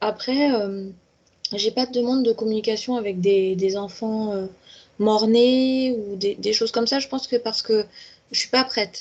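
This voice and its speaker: With a dark, mellow tone and fairly even intonation, the speech moves fairly slowly, broken by long, frequent pauses. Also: woman, fairly high pitch for a woman. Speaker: medium. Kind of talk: interview. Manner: hesitant, many repetitions.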